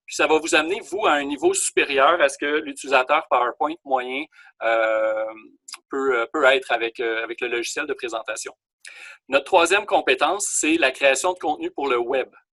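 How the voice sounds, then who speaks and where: A man's fairly high, bright, sharp voice at a moderate pace, with ordinary pitch variation and a dry, close sound with no echo. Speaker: college teacher. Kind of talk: online class lecture. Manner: hesitant with fillers.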